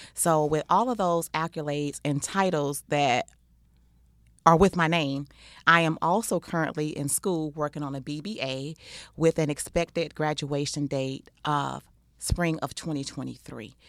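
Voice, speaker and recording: On a very clean recording with a silent background, a woman with an American accent speaks at a moderate pace, her very deep, low pitch showing ordinary variation. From Texas. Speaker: life coach and podcast co-host. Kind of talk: casual chat.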